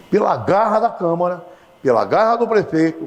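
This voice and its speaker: A man's high-pitched voice with lively intonation at a moderate pace, amid noticeable background noise. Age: 70s. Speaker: TV interviewer. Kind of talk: TV interview.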